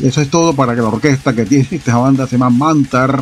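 With music in the background, a man speaks in a Panamanian accent at a fairly high pitch with ordinary pitch variation. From Panama City, Panama. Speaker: radio host. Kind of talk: radio DJ patter, extreme-metal show host. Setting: radio studio broadcast. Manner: relaxed, chatty, friendly; halting, rambling, trailing off mid-thought.

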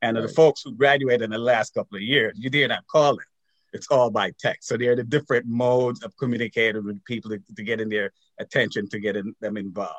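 Fairly even intonation from a man with a medium pitch, delivered at a very fast pace. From Jamaica. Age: 60s. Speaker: alumni association president. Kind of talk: interview.

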